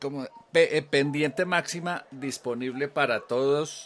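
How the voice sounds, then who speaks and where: A man speaks in a plain, everyday voice. His pitch sits fairly high, with ordinary variation. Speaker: podcast host. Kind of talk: interview.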